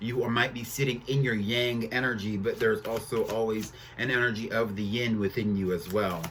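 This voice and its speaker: A man speaks with fairly even intonation and hardly any pauses. Noticeable background noise and audible room echo are present. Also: medium pitch for a man, moderate pace. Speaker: tarot reader. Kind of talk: tarot reading monologue. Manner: halting, filler-heavy.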